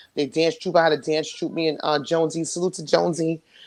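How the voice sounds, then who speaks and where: A woman talks very fast in a New York accent. Her pitch is very deep and low. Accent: New York City. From New York City, Queens. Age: 40s. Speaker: interview guest. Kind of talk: casual interview chat.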